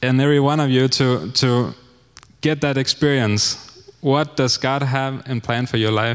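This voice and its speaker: A man speaks with a Danish accent. His pitch is medium and his intonation fairly even. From Denmark. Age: 30s. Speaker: missionary. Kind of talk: testimony. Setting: church.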